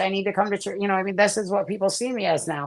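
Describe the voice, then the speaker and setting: Noticeable background noise is heard as a woman talks with an American accent. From upstate New York (Herkimer). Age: 40s. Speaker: recovering addict giving testimony. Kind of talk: testimony. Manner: fast, excited.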